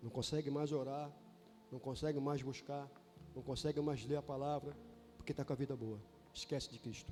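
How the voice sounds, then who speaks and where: Against music in the background, a man with a fairly high pitch speaks at a moderate pace with long, frequent pauses. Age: 60s. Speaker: bishop / preacher. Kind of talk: sermon. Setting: church. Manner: animated.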